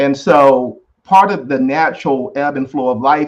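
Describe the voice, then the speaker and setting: An American accent marks this man's fairly high-pitched speech, delivered at a fairly slow pace. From US South. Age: 60s. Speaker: essay writer discussing family legacy. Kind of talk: interview. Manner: halting.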